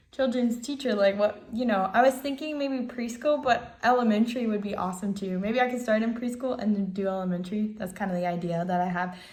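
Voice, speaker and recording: With an American accent and ordinary pitch variation, the speaker talks with hardly any pauses amid audible room echo and noticeable background noise. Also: woman. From Ohio, US Midwest. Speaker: navy sailor and student. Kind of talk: self-introduction video. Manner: casual with many fillers.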